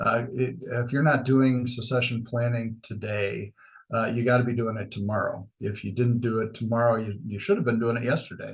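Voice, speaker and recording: A man with an American accent talks at a moderate pace and a medium pitch. His voice is somewhat breathy, with ordinary pitch variation. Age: 60s. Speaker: chamber of commerce leader. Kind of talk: podcast interview. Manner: many fillers and hesitations.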